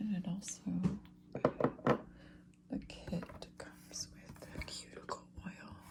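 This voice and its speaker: Someone whispers over noticeable background noise. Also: man. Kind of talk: ASMR soft-spoken unboxing and show and tell. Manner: soft-spoken.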